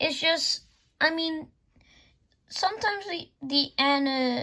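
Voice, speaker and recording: A woman with a high pitch speaks in a raised, projected voice at a fairly slow pace. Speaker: YouTuber reviewing DVD collection. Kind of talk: casual show-and-tell review. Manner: halting, many false starts.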